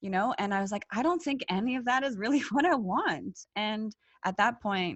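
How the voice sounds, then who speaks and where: Somewhat breathy, a woman with a Canadian accent speaks in a fairly high voice with lively intonation. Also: moderate pace. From Canada. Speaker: former engineer. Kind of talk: podcast interview. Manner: halting.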